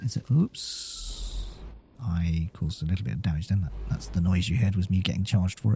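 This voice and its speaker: Somewhat breathy, a man speaks at a fairly low pitch. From southwest England. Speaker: gaming commentator. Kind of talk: gameplay commentary. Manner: fast; casual, with many fillers.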